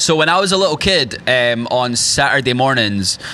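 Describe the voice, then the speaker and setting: Against noticeable background noise, a man with a Scottish accent speaks at medium pitch and a moderate pace. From rural Scotland. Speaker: country musician. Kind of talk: casual chat. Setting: stage with audience.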